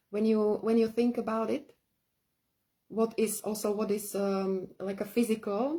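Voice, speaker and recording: A woman speaks with a non-native accent at a fairly high pitch. Her tone is dark and mellow, and somewhat breathy. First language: not English. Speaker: spiritual teacher. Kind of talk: live-streamed workshop talk. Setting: live stream. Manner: halting, many fillers.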